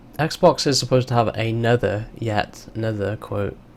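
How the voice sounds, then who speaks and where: There's noticeable noise in the background. A man talks with fairly even intonation. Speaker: gaming streamer. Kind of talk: live stream commentary. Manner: hesitant, many fillers.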